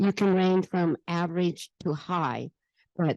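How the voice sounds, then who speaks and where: Over a quiet background, a woman with a fairly low pitch speaks at a very slow pace. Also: dry, close sound with no echo. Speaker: travel advisor. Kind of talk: panel discussion. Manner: loud.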